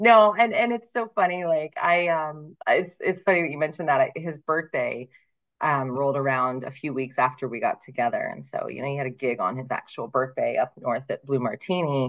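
With lively intonation, a woman with a very deep, low pitch speaks at a moderate pace. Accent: American. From Ohio. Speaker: singer. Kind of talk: casual chat.

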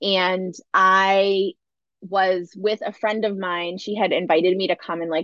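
A woman speaks in a normal speaking voice at a medium pitch, her intonation fairly even. The sound is dry and close with no echo, over a quiet background. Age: 40s. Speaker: wellness leader and former yoga teacher. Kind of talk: casual chat.

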